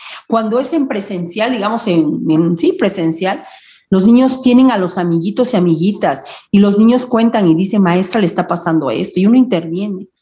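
At a moderate pace, a woman speaks in a somewhat breathy, medium-pitched voice with lively intonation. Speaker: primary school teacher. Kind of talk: interview. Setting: phone call. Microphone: phone mic, computer audio broken.

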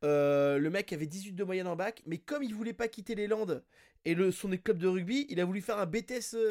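On a very clean recording with a silent background, a man talks in a high voice at a moderate pace with ordinary pitch variation. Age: 40s. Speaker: podcast host. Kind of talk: casual chat.

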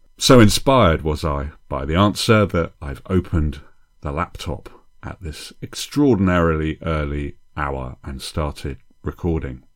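This man's voice is very deep and low, moving at a fairly slow pace. His loudness swings widely, while his pitch varies in an ordinary way. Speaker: podcast host, comedy writing teacher. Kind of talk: solo podcast monologue. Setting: home, early morning. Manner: speaking quietly, soft; intimate, close to mic like late-night DJ.

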